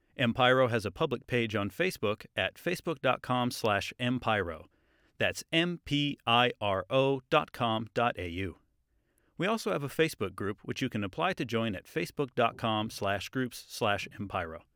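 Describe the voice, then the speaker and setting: Recorded very cleanly with a silent background and a dry, close sound with no echo, a man with an American accent speaks at medium pitch in a bright, sharp tone with lively intonation. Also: moderate pace. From Washington State, US. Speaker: master's student, podcast editor. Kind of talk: scripted announcement; casual introduction chat.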